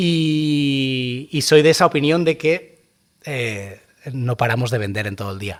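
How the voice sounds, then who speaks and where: A man with a medium-pitched voice talks at a moderate pace. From Catalonia, Spain (Terrassa). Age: 40s. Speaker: luxury car dealership manager. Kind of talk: podcast interview. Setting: on location at a car showroom. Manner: hesitant fillers.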